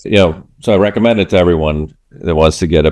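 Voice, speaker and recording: A man with a Swedish accent and a very deep, low pitch, at a moderate pace with ordinary pitch variation, in a dry, close sound with no echo and a very clean recording with a silent background. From Sweden. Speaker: podcast host. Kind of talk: interview podcast conversation.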